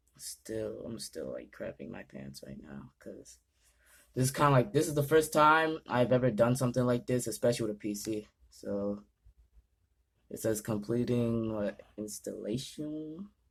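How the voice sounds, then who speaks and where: A man's medium-pitched voice at a moderate pace, with very wide pitch swings and big swings in loudness, on a very clean recording with a silent background. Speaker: gaming YouTuber. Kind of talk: casual tutorial vlog. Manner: halting, stumbling over words.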